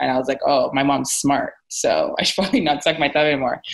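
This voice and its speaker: A woman's very deep, low voice with a Canadian accent, fairly quick and fairly even in intonation, over a quiet background. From Nigeria. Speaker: podcast host; podcast guest. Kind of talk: casual chat. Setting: video call. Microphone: video call.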